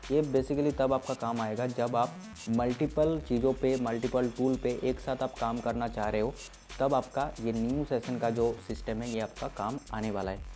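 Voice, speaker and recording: A man talks at a moderate pace and a medium pitch, his intonation fairly even. Music plays in the background. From West Bengal, India. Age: 20s. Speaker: ethical hacking instructor. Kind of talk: tech tutorial talk to camera.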